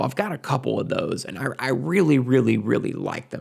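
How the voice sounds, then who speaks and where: A man is speaking. He has a strong Southern US accent. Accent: thick Southern US. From US South. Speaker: gun and knife YouTuber. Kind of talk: Q&A answering patron questions. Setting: at his desk. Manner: casual, halting with many fillers.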